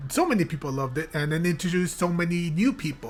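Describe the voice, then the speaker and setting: Over music in the background, a woman with a very deep, low pitch talks at a fairly quick pace with ordinary pitch variation. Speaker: gaming youtuber. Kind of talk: reaction video commentary. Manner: halting. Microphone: new blue yeti mic.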